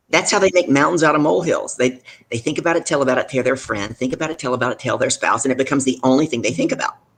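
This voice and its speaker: Talking at a very fast pace, a man with a Deep South accent sounds animated, his pitch varying in an ordinary way. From US South. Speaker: business leadership coach. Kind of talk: live show interview.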